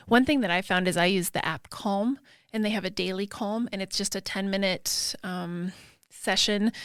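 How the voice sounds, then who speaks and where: The recording is very clean and the background silent. A woman talks at a medium pitch with ordinary pitch variation. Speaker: podcast co-host. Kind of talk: casual chat. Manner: fast.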